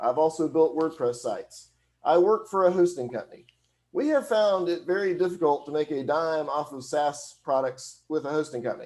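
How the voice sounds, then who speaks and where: A man with a Southern US accent speaks at a fairly high pitch with ordinary pitch variation, in a very clean recording with a silent background. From US South (Alabama). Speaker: hosting company employee, e-commerce consultant. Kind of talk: presentation. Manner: fast.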